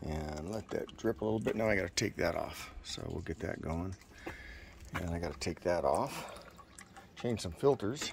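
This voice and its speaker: A man speaks at a moderate pace with a very deep, low pitch and long, frequent pauses. The sound is dry with no echo, though background noise is noticeable. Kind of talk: tutorial. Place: street. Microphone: phone near.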